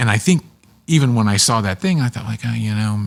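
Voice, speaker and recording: Amid noticeable background noise, a man with an American accent talks at a fairly quick pace. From Pittsburgh, western Pennsylvania. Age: 60s. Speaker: public television producer and narrator. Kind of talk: casual chat.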